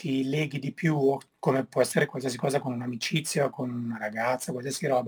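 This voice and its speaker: A somewhat breathy man at a medium pitch, talking at a very fast pace with ordinary pitch variation. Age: 40s. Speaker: snowboard filmmaker. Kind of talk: interview.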